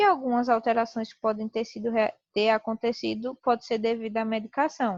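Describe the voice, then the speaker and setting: Against a quiet background, a woman with a normal speaking voice talks at a moderate pace and a fairly high pitch. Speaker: teacher. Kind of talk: lecture.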